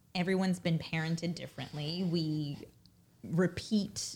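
A woman with an American accent speaks at a fairly slow pace in a fairly low, somewhat breathy voice with fairly even intonation. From Brooklyn, New York. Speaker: business executive and mother. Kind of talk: casual interview. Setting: in the host's home, six feet apart.

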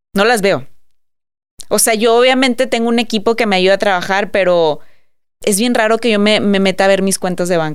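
A woman at a medium pitch talks at a fairly quick pace with long, frequent pauses, very even loudness and ordinary pitch variation. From Mexico, Monterrey. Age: 30s. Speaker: entrepreneur and influencer. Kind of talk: casual interview chat.

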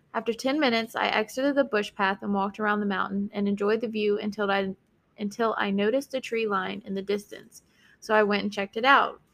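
Very fast woman's voice with a slight Southern US accent, medium pitch and fairly even intonation, on a very clean recording with a silent background. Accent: slight Southern US country twang. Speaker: guest story reader. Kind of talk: reading Reddit stories aloud with chat.

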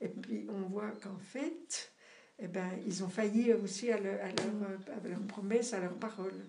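A woman's medium-pitched voice at a fairly slow pace, with noticeable background noise and audible room echo. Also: ordinary pitch variation. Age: 70s. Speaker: parishioner. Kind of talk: casual chat. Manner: halting.

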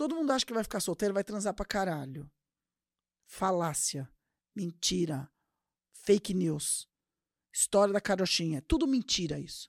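Recorded very cleanly against a silent background with a dry, close sound and no echo, the speaker uses an animated tone and very wide pitch swings at a moderate pace, with long, frequent pauses. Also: woman, medium pitch for a woman. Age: 40s. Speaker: podcast host. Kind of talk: casual monologue.

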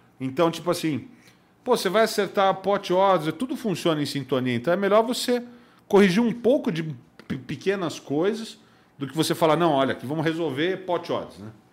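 Here a man speaks with a high pitch and lively intonation. His pace is moderate, and the recording is very clean with a silent background. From São Paulo, Brazil. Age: 40s. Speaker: poker instructor and commentator. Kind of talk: casual interview. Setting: studio.

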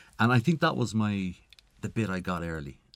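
Lively intonation marks a man's very deep, low voice at a fairly quick pace. The recording is very clean with a silent background. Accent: Irish. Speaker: tech entrepreneur. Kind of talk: interview. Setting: studio.

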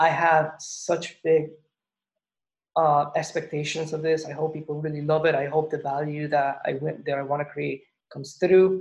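A man speaks at a moderate pace with a fairly high pitch and a monotone, flat intonation. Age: 30s. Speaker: podcast host. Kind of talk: casual interview.

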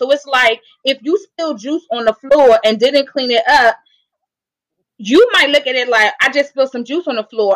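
A woman's high-pitched voice in a dry, close sound with no echo. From DC area. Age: 30s. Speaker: guest. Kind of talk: casual podcast conversation.

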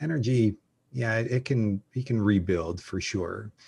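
A somewhat breathy man with a Canadian accent, on a very clean recording with a silent background. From Calgary, Canada. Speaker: personal brand strategist. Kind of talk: interview conversation. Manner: halting, frequent repetitions.

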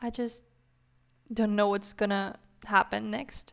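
At a very slow pace, a woman with a non-native accent speaks in a fairly high pitch. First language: not English. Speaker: book podcaster. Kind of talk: casual monologue. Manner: halting.

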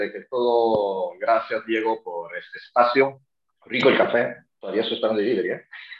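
The pace is fairly slow. Loudness swings in big ways. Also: man. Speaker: real estate agent. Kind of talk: casual chat. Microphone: connection cutting out.

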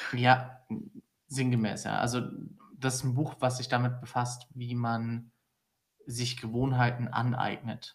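Somewhat breathy and at medium pitch, a man speaks very slowly in a monotone, flat intonation with long, frequent pauses. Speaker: podcast co-host. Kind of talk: casual chat.

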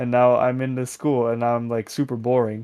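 A man's medium-pitched voice, fairly quick, with monotone, flat intonation and a Dutch accent. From Netherlands. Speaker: music producer. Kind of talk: interview. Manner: hesitant, many fillers.

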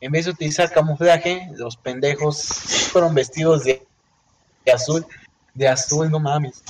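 A man with a Mexican accent speaks in a fairly high voice with fairly even intonation. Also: fairly slow pace. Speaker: podcast co-host. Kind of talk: casual chat.

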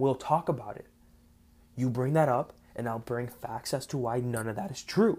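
A somewhat breathy voice moves at a moderate pace with ordinary pitch variation. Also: man, medium pitch for a man. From South Florida, Cuban-American family. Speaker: podcast host. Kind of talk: solo monologue. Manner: casual, with many fillers.

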